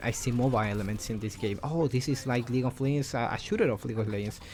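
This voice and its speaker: A man with a non-native accent, medium pitch and ordinary pitch variation. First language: non-native English speaker. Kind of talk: casual unscripted game commentary. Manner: hesitant, many fillers.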